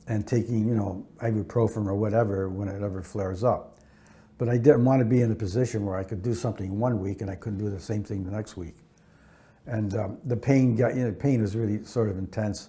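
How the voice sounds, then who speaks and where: A man's fairly low, dark, mellow voice, somewhat breathy, with fairly even intonation at a fairly quick pace. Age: 70s. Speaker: criminal defense attorney. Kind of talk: interview answer. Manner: casual, conversational, with fillers.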